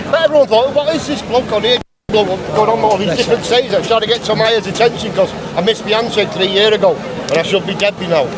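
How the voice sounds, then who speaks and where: Over crowd noise in the background, a man talks at a very fast pace. His pitch is high, with ordinary pitch variation. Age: 50s. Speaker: rally attendee, terminally ill. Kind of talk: street interview. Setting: outdoors at a rally.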